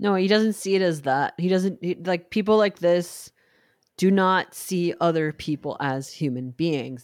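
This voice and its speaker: A woman with an ordinary speaking voice talks at a moderate pace and a fairly low pitch in a very clean recording with a silent background, and the sound is dry and close with no echo. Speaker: podcast host. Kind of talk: casual banter podcast chat.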